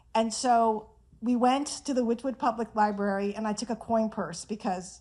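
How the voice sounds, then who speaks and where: Heard in a very clean recording against a silent background, a woman with a fairly high pitch and an unremarkable speaking voice talks at a moderate pace with fairly even intonation. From Iran, moved to Whittier, California as a child. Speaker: author. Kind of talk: tribute speech. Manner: casual, humorous.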